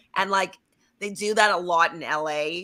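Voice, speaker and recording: A woman puts on a nasal character voice at medium pitch. She keeps a moderate pace with fairly even intonation. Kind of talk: L.A. valley-girl style.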